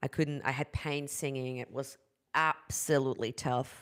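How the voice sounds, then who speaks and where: A woman with a German accent, very deep and low in pitch, at a moderate pace and fairly even intonation, in a very clean recording with a silent background. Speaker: vocal coach. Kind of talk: live stream talk. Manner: halting.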